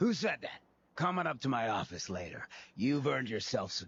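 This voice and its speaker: Raspy and at a fairly quick pace, a man does a put-on character voice at a medium pitch. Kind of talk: rabble-rousing speech. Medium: video game. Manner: slangy, theatrical.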